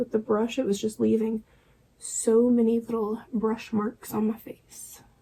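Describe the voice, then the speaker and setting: The speaker whispers. The pace is fairly slow. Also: woman. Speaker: beauty vlogger. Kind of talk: makeup tutorial. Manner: whispery; casual chatty.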